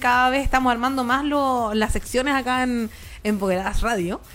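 A woman's high-pitched voice at a fairly quick pace, with fairly even intonation and a Chilean accent. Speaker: radio host. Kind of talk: casual chat.

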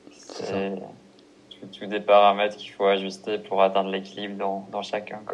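This man speaks fairly slowly in a fairly low, monotone voice, leaving long, frequent pauses and swinging widely in loudness. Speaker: podcast host. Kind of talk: casual interview. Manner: halting, repeats words. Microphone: poor sound quality on his parts.

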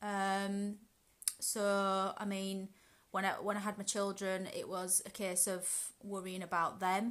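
A woman's medium-pitched speech comes very slowly, in monotone, flat intonation. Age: 30s. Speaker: guest sharing mental health experience. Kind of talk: casual chat.

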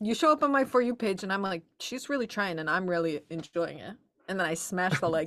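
A woman's normal speaking voice at medium pitch, fairly quick in pace, with lively intonation. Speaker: book club podcast co-host. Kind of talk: casual chat.

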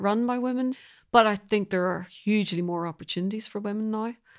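Speaking with a Northern Irish accent, a woman shows ordinary pitch variation. Her recording is very clean, with a silent background. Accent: Northern Irish (Belfast). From Northern Ireland, Belfast. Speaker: composer. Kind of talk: interview conversation.

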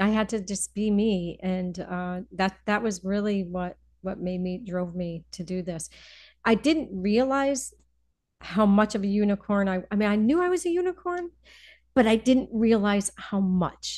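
Speaking in a plain, everyday voice with an American accent, a woman at a medium pitch talks at a fairly slow pace with ordinary pitch variation against a quiet background. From US Northeast, Connecticut (Hartford area). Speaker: financial advisor. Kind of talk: casual interview.

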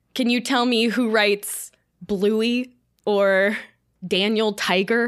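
A woman speaks very slowly with long, frequent pauses, at a fairly high pitch in a monotone, flat intonation and very even loudness, on a very clean recording with a silent background. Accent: American. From US South, Florida. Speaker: podcast host. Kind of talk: casual chat.

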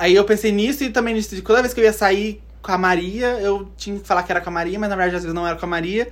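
Very fast speech with hardly any pauses. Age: 20s. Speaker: podcast guest. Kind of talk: casual chat.

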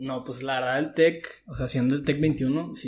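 Here a man speaks at a fairly slow pace with ordinary pitch variation. His voice is somewhat breathy. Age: 20s. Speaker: university student. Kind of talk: casual chat.

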